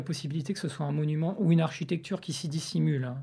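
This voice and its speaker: A man talks in a dark, mellow tone that is somewhat breathy, with fairly even intonation. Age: 40s. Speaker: sculptor and visual artist. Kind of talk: interview conversation about art. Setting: indoor recording at the academy premises. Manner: some hesitations and repeated words.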